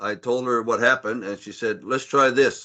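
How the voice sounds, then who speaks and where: A man speaks at a fairly slow pace in a bright, sharp tone, his pitch sitting in the medium range. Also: quiet background. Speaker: panelist with hearing loss. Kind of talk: panel discussion. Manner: loud when excited.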